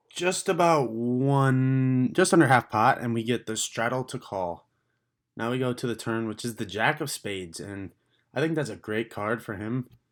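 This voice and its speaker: This man has an ordinary speaking voice at a medium pitch, with ordinary pitch variation and a moderate pace, captured on a very clean recording against a silent background. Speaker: poker vlogger. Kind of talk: voiceover commentary on hands.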